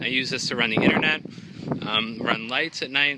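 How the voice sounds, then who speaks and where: The man's voice is dry with no echo, set against loud background noise. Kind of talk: casual vlog chat. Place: street. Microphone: phone near.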